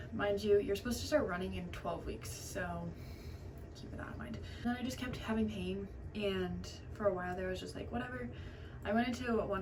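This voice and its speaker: Audible room echo and noticeable background noise around a woman's fairly quick speech. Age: 20s. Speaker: beauty vlogger. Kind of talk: chatty get ready with me. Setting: bathroom at home. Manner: fast; casual, filler-heavy.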